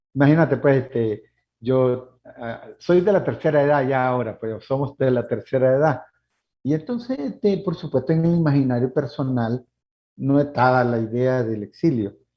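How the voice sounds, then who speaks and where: Here a man speaks at a medium pitch and a moderate pace with ordinary pitch variation. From Nicaragua. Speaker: human rights lawyer. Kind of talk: interview. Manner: halting.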